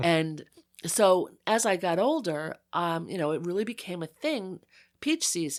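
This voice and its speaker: A woman with an American accent has a plain, everyday voice, fairly low in pitch with ordinary variation. The recording is very clean, with a silent background. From US Northeast, Long Island North Fork. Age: 60s. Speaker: photographer and writer. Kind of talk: casual interview chat. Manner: conversational with many fillers.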